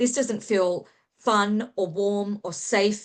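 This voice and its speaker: A woman with an Australian accent, quiet background. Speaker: author and human connection specialist. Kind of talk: interview.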